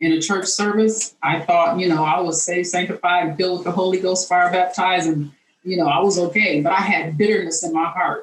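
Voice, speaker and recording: An unremarkable speaking voice from a woman, fairly low in pitch, with fairly even intonation. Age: 60s. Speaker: speaker sharing personal health testimony. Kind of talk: testimony. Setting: video call.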